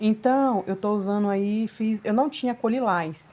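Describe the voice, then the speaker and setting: Her tone is dark and mellow. The woman speaks at a medium pitch with ordinary pitch variation. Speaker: home cake decorator, video creator. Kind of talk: voice-over narration of a cake decorating tutorial. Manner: casual, chatty.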